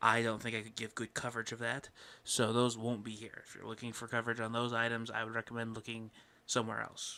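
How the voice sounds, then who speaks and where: Quietly, a man speaks at a medium pitch in a bright, sharp tone with monotone, flat intonation. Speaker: podcast host. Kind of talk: casual chat. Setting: home recording late at night. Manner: quiet, keeping voice down late at night.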